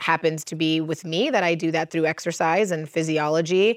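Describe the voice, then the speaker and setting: A woman with an American accent and a normal speaking voice talks at a moderate pace, fairly low in pitch. Her intonation is fairly even, and the recording is very clean with a silent background. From US, Cuban American family. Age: 30s. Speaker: holistic practitioner and coach. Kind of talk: casual chat. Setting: outdoors.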